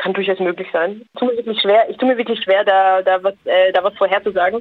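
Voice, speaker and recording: A woman with a plain, everyday voice, medium pitch, fairly even intonation and a fairly quick pace. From Austria. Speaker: social scientist. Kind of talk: interview.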